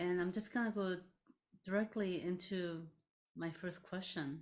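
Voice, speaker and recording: The woman's voice sits at a fairly low pitch. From South Korea. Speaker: interviewer, academic. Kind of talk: interview.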